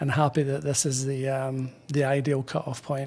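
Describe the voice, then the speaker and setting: Fairly even in intonation, a man with a fairly high pitch speaks at a fairly slow pace. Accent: Scottish. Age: 60s. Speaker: pipe band drummer. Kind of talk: interview. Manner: halting.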